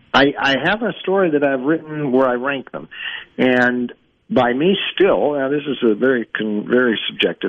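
A plain, everyday voice: a man at a fairly high pitch, with lively intonation and a moderate pace. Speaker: sports betting analyst. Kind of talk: radio interview.

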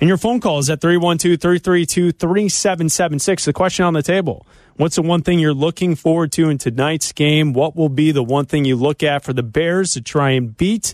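In a plain, everyday voice, a man with a fairly high pitch speaks at a moderate pace with ordinary pitch variation, hardly any pauses and very even loudness, the sound dry and close with no echo over a quiet background. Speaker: radio sports host. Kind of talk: radio DJ patter: brisk sports-radio host banter, ad reads and caller handoffs.

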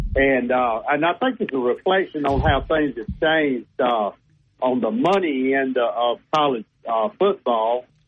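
This man has a normal speaking voice with a fairly high pitch. He talks at a fairly slow pace with lively intonation. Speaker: caller. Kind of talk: casual chat. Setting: phone call.

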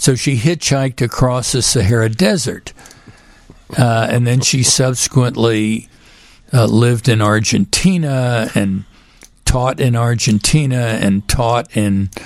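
Speaking with an American accent, this man has medium pitch and ordinary pitch variation. His pace is very slow. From Texas, Houston. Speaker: physician and author. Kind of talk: radio interview. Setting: studio.

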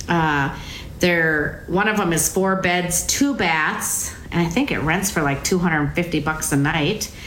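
A woman with a fairly low voice talks very slowly, with ordinary pitch variation and very even loudness, amid noticeable background noise and audible room echo. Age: 60s. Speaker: real estate agent. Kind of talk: radio talk show chat.

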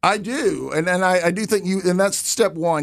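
A man talks with an American accent at a fairly quick pace. His pitch varies in an ordinary way. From US South, Alabama. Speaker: retiring village president. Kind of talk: radio interview. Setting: studio. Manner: halting.

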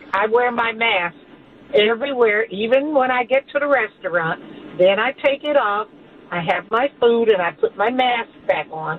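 A woman's fairly high voice with an American accent and lively intonation, at a moderate pace, amid noticeable background noise. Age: 60s. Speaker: caller. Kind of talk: call-in.

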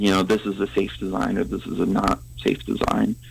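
The man keeps a moderate speed. Noticeable background noise is present throughout. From New Mexico. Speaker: engineering professor. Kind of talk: interview.

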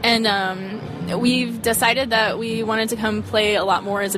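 A woman speaks at a fairly high pitch with fairly even intonation over noticeable background noise. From US South, Arkansas. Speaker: touring musician. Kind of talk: casual chat. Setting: outdoors.

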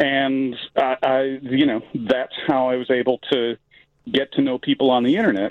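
Speaking at a very slow pace, a man with an American accent holds a medium pitch. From Chicago. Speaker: artist and screenwriter. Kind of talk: radio phone interview. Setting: phone call.

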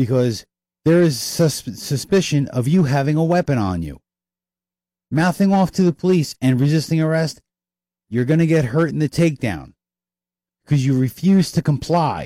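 A man with an American accent speaks at a fairly high pitch with a dark, mellow tone and ordinary pitch variation. His moderate pace is broken by long, frequent pauses, and the sound is dry and close, with no echo. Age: 50s. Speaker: talk radio host. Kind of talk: opinion monologue. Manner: animated; repetitive stammering.

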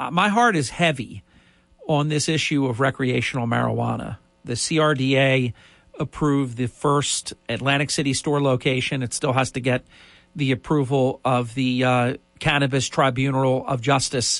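A man speaks at a moderate pace in a medium pitch against a quiet background. His is a plain, everyday voice. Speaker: radio host. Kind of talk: live talk radio show, opinionated monologue. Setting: radio studio.

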